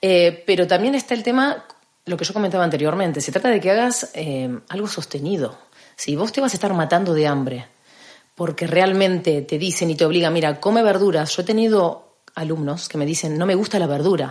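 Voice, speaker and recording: A woman with a normal speaking voice, fairly low in pitch, talks at a fairly quick pace with lively intonation. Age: 40s. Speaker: personal trainer. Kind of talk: casual chat.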